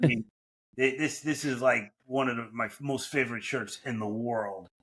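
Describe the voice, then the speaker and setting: A man speaks with a New York accent at a moderate pace. His pitch is medium and his intonation fairly even. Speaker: franchise consultant. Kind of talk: podcast interview.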